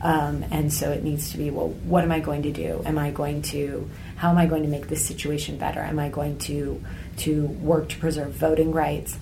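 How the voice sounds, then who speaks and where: A woman with an American accent at a moderate pace, against noticeable background noise. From United States. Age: 30s. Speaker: travel blogger and author. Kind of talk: interview conversation.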